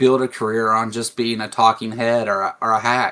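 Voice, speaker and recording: Speaking in a Kentucky accent, a man with a medium pitch and a bright, sharp tone keeps a fairly even intonation at a fairly slow pace. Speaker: atheist commentator. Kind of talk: casual discussion. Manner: halting.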